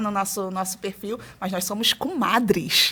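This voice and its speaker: A woman talks with a Rio de Janeiro accent. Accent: carioca. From Rio de Janeiro, Brazil (born in Ceará). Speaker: early childhood teacher and educator. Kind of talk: podcast interview.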